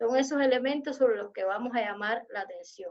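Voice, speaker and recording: A woman's voice sits at a high pitch and shows ordinary pitch variation. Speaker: university lecturer. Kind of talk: online lecture. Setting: video call.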